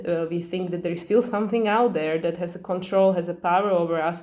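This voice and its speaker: Audible room echo around a woman's medium-pitched voice with a non-native accent, monotone and flat, at a fairly quick pace. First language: not English. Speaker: astrology channel host. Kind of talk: casual astrology talk to camera. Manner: fast; hesitant, many fillers.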